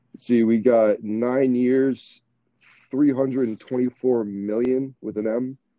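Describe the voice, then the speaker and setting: Monotone, flat delivery in an American accent at a fairly slow pace. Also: man, medium pitch for a man. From Michigan, US. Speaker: podcast host, former college baseball player. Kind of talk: casual chat. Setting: home basement, remote recording.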